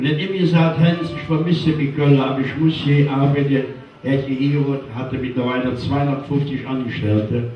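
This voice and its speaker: A man with a medium-pitched voice speaks at a fairly slow pace. There is audible room echo and light background noise. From Cologne, Germany. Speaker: carnival entertainer. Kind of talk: emotional personal story told to an audience. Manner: serious, slow, sad. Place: hall.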